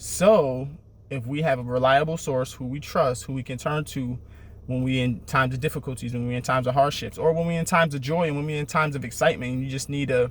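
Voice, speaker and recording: Somewhat breathy and fairly even in intonation, a man talks very fast at a medium pitch. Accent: American. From Syracuse, New York (US Northeast). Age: 30s. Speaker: motivational vlogger. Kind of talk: motivational talk. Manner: repetitive, emphatic.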